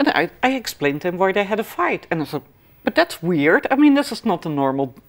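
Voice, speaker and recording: With a Dutch accent, a woman speaks at a medium pitch and a fairly quick pace. Her pitch swings very widely. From Netherlands, Amsterdam. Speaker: healer and clairvoyant. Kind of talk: interview. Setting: studio. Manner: halting.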